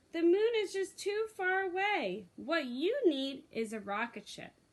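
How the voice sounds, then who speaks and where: A put-on character voice, squeaky and swinging very widely in pitch. It moves at a fairly slow pace. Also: woman, extremely high pitch for a woman. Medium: read story. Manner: chirpy.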